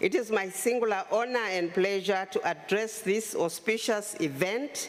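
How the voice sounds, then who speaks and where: Over noticeable background noise, a woman speaks at a moderate pace and medium pitch, with ordinary pitch variation and very even loudness. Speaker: government minister. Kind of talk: formal conference speech.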